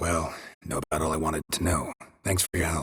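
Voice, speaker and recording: A raspy, put-on character voice at a fairly quick pace, with monotone, flat intonation. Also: man, very deep, low pitch for a man. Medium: video game. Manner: laconic, dry.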